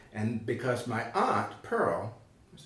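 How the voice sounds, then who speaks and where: A man with a North Carolina accent, medium-pitched and fairly even in intonation, over noticeable background noise and audible room echo. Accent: US Southern, North Carolina. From eastern North Carolina, Tarboro. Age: 70s. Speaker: retired executive and county commissioner. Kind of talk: oral history interview.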